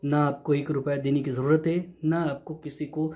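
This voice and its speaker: Speaking at a moderate pace, this man has a fairly high pitch, a dark, mellow tone, a somewhat breathy quality and fairly even intonation. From Maharashtra, India. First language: Marathi (speaking Hindi). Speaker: YouTuber sharing job tips. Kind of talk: informal explainer video. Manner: repetitive, reassuring.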